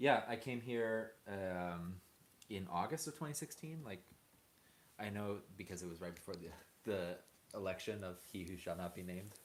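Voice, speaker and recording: A man with an American accent has an ordinary speaking voice, fairly low in pitch, with lively intonation at a moderate pace. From United States. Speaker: music producer, academic. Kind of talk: casual chat. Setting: livestream.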